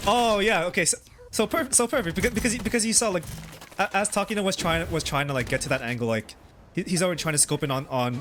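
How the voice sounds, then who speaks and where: A high-pitched man speaks at a very fast pace with very wide pitch swings and very even loudness. Noticeable background noise runs underneath. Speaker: game coach. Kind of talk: coaching session reviewing gameplay. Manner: halting.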